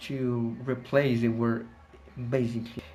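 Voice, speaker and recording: Amid noticeable background noise, a man with a Colombian accent speaks at a very slow pace. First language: Spanish. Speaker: English teacher. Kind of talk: casual talk to camera. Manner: hesitant, many fillers.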